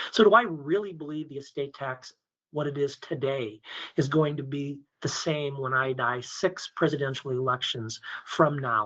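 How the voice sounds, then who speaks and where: In a normal speaking voice, a man talks at a moderate pace in a fairly high pitch with ordinary pitch variation. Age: 60s. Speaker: estate planning lawyer and insurance sales specialist. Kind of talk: webinar presentation. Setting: conference call webinar. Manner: conversational with frequent fillers.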